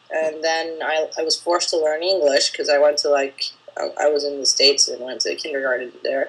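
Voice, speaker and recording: A woman speaks with noticeable background noise in the clip. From Spain. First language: Spanish. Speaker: filmmaker. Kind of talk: interview.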